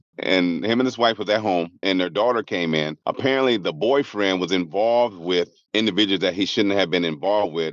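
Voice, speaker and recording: A man with a normal speaking voice talks fairly quickly at a fairly low pitch, with ordinary pitch variation, very even loudness and hardly any pauses. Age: 60s. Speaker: community organization founder. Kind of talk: podcast interview.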